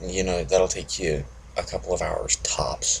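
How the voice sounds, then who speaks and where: A man speaks quietly. His pace is moderate. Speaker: motorcycle vlogger. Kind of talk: casual monologue vlog. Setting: at home early morning. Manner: monotone.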